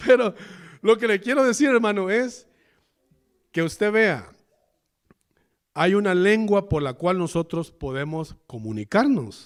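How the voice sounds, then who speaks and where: A man with a Salvadoran accent talks in a high pitch for a man, leaving long, frequent pauses. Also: lively intonation. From El Salvador. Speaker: pastor. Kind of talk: sermon. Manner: halting.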